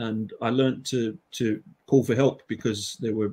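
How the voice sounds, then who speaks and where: A man speaks at a medium pitch with an English accent. His intonation stays fairly even. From England. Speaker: Icelandic language teacher. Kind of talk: panel discussion.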